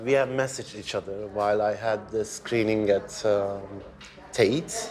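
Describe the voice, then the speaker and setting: A man talks with a Turkish accent at a fairly low pitch. Noticeable background noise runs underneath. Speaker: filmmaker. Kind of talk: casual chat. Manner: halting.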